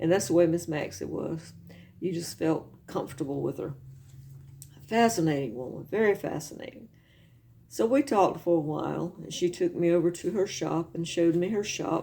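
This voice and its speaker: The speaker has a Southern US accent, a moderate pace and lively intonation. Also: woman, fairly low pitch for a woman. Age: 60s. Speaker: video blogger. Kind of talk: casual chat.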